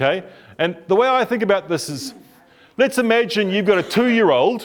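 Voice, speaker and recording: A man with a New Zealand accent, lively intonation and a moderate pace. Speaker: couples therapist giving a talk. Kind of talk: talk to a group. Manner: animated.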